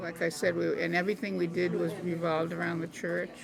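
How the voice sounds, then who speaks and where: Very fast speech in a Boston accent. Noticeable noise sits in the background. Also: woman. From Boston, Massachusetts. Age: 80s+. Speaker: senior resident interviewee. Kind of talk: interview.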